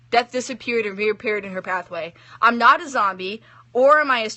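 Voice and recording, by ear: Reading aloud in a natural voice with ordinary pitch variation.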